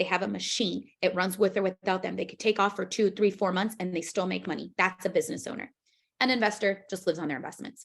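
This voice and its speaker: A woman of medium pitch talks at a very fast pace with vocal fry. Her intonation stays fairly even while her loudness swings widely. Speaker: financial services business trainer. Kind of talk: training presentation demonstrating a recruiting pitch. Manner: casual, filler-heavy.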